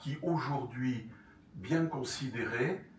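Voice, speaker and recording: In a room with audible echo and noticeable background noise, a man speaks very slowly at medium pitch. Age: 70s. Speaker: retired journalist and author giving a talk. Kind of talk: lecture with audience questions. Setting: conference hall with audience. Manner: halting, many fillers and repetitions.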